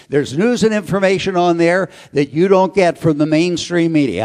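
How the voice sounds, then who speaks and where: Speaking with an American accent, a man has a high pitch and ordinary pitch variation. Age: 70s. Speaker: radio talk show host giving a political talk. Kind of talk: political speech to a live audience. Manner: animated.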